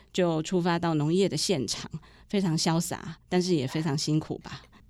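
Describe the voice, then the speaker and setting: A woman with an ordinary speaking voice at a moderate pace, on a very clean recording with a silent background. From rural Taiwan. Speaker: podcast host, journalist. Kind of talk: interview.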